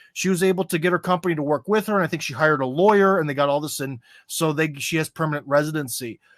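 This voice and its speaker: Very clean, silent-background recording of a man at a fairly high pitch, fairly quick pace and ordinary pitch variation, dry and close with no echo. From USA. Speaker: American expat commentator on Russia. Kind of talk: podcast interview. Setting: live stream. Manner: loud; casual, many fillers.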